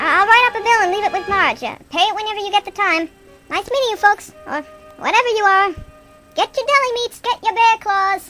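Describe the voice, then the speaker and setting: Using a put-on character voice, a woman sounds squeaky at an extremely high pitch. She talks at a fairly quick pace, with faint music in the background. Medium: solo performance. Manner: pushy, sarcastic salesman.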